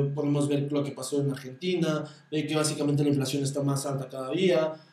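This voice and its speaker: A man in a Mexican accent has a fairly high voice with a dark, mellow tone. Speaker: stockbroker, finance podcaster. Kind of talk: solo podcast monologue on investing. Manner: occasionally stumbling over words.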